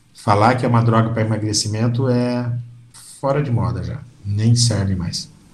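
Audible room echo surrounds a man speaking at a moderate pace in a medium pitch with fairly even intonation. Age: 60s. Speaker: physician. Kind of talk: interview.

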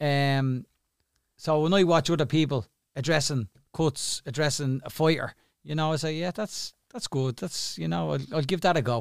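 A man with an Irish accent speaks at a moderate pace in a fairly high pitch with ordinary pitch variation, the sound dry and close with no echo. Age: 50s. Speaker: boxing cut man. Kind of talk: casual interview. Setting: studio.

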